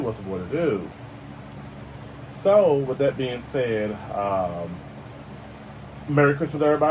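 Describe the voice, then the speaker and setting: Noticeable background noise sits under the recording. Over it, a man talks with lively intonation. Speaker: toy review youtuber. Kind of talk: casual toy unboxing review. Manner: fast.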